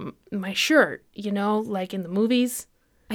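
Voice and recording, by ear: This clip consists of reading aloud in a natural voice.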